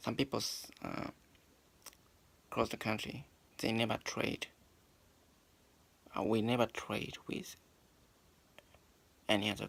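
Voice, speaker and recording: Speaking in a Japanese accent, a man talks at a fairly slow pace with a fairly low pitch and long, frequent pauses. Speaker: English learner vlogger. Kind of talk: talking to oneself, practice monologue. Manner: halting, many restarts.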